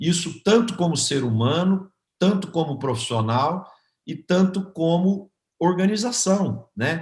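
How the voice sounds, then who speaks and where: A somewhat breathy male voice at a fairly slow pace, with very wide pitch swings. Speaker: agribusiness consultancy founder. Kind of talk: interview testimony. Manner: hesitant, repeats words.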